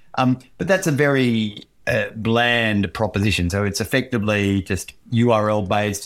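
A man speaks at a fairly slow pace in a fairly low pitch with fairly even intonation, on a very clean recording with a silent background. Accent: Australian. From Queensland, Australia. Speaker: technology lawyer. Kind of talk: interview.

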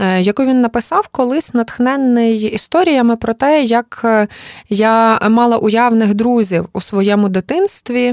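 Very slowly and at very even loudness, a woman talks with a fairly high pitch and ordinary pitch variation, the sound dry and close with no echo. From Ukraine, Lviv. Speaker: journalist and cultural manager. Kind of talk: interview conversation.

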